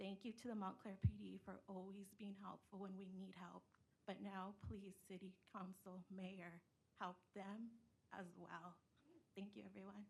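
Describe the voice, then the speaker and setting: A woman of medium pitch speaks fairly slowly with vocal fry and monotone, flat intonation. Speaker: public commenter. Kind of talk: public comment at council meeting. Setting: council meeting.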